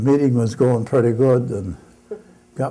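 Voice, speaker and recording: A man's voice comes through somewhat breathy. Its tone is dark and mellow. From Michigan, United States. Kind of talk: live storytelling performance to an audience. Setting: live event in a gallery exhibit. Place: hall. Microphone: camera far.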